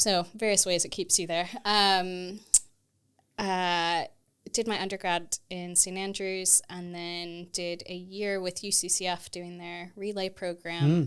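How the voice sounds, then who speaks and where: A woman with a Texan accent at a medium pitch, monotone and flat, very slow, with big swings in loudness, on a very clean recording with a silent background. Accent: American (Texan). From Texas, US. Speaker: theology lecturer. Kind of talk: podcast interview.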